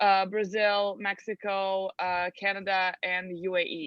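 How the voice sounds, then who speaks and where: A medium-pitched woman with a Serbian accent and fairly even intonation. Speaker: translation agency owner. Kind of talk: interview.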